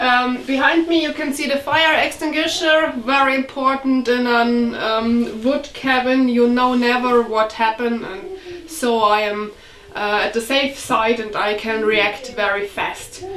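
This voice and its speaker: A woman talks at a fairly slow pace in a high pitch with ordinary pitch variation, with audible room echo and light background noise. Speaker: vlogger fixing up a cabin. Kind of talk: casual vlog chat. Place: home room.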